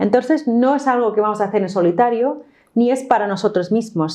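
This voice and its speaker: In an English accent, a woman speaks at a fairly high pitch with a dark, mellow tone and lively intonation. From New York, US. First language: English (speaking Spanish). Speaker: course instructor. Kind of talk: online course lesson.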